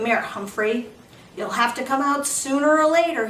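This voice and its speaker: A gruff, put-on character voice comes at a moderate pace with audible echo. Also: woman, high pitch for a woman. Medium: read story.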